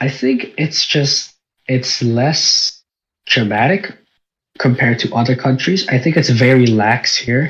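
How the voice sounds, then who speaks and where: A somewhat breathy man at a medium pitch, with very even loudness, ordinary pitch variation and a fairly slow pace. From Philippines, moved to New Zealand at eight. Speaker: podcast co-host. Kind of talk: casual chat.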